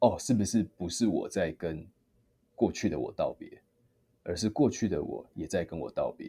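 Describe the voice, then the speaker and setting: Speaking at a moderate pace, a man has a dark, mellow tone that is somewhat breathy. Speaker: singer. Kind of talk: interview.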